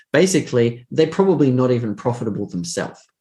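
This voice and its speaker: A man with an Australian accent speaks at a very fast pace. His tone is dark and mellow, and somewhat breathy. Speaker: trading educator. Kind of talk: interview answers.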